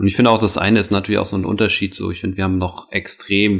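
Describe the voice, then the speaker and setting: Over noticeable background noise, a man talks in a very deep, low pitch with fairly even intonation. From Hamburg, northern Germany. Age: 30s. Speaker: floorball coach. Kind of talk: interview. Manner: hesitant, many fillers.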